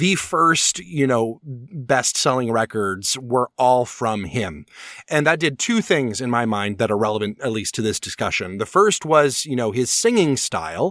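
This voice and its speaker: At a fairly slow pace, a normal speaking voice comes through a very clean recording with a silent background. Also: man, medium pitch for a man. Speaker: opera talk radio host. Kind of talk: casual podcast discussion.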